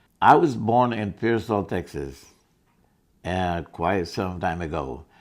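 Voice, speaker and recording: A man's very deep, low voice with a Spanish accent, ordinary pitch variation, and a quiet background. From northern Mexico, Coahuila. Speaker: Korean War veteran. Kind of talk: interview testimony.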